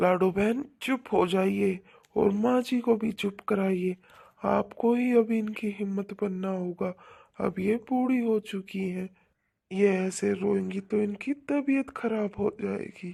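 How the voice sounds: A cartoonish character voice with a dark, mellow tone, vocal fry and ordinary pitch variation, spoken at a slow pace.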